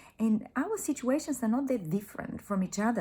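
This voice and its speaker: A woman with a non-native accent, a dark, mellow, somewhat breathy tone, and lively intonation. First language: not English. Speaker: life coach vlogger. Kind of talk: motivational vlog monologue. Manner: passionate.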